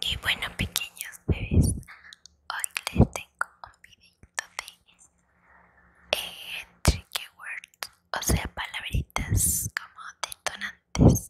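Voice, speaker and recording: A whispered voice. It moves at a very slow pace. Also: woman. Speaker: ASMR creator. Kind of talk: soft whispered ASMR intro chat. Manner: soft close-mic ASMR murmur. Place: home room. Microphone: lapel.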